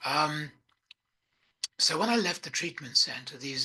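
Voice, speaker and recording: Pitched fairly high, a man speaks with a bright, sharp tone in an English accent. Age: 80s+. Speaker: recovering addict sharing his story. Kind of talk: personal testimony. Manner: hesitant, many fillers.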